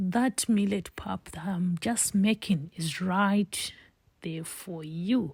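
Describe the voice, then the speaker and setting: Someone speaks very slowly with a Zimbabwean accent on a very clean recording with a silent background. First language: Shona. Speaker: home cook, cooking channel host. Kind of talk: cooking tutorial.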